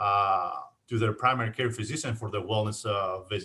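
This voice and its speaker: A man speaks at a fairly quick pace with a strong Greek accent. His voice sits at a medium pitch with a bright, sharp tone. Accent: thick Greek. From Greece, Athens. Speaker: insurance agent. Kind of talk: casual interview. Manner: halting, many fillers.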